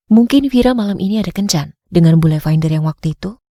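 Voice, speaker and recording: Somewhat breathy and dark, mellow in tone, a woman speaks with lively intonation in a dry, close sound with no echo. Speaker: voice over artist. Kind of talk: audiobook narration.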